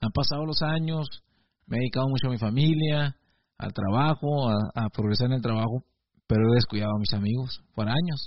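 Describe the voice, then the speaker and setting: The man's moderate delivery shows ordinary pitch variation. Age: 40s. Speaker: video blogger. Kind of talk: reflective monologue. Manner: halting, with frequent repetitions.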